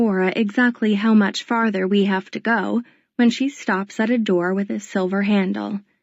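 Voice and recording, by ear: The text is read aloud in a natural voice.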